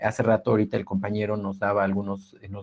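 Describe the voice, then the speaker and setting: This man speaks with a fairly low pitch for a man. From Oaxaca, Sierra Mixe, Mexico. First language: Ayöök (Mixe) (speaking Spanish). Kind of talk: webinar talk. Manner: halting, many repetitions.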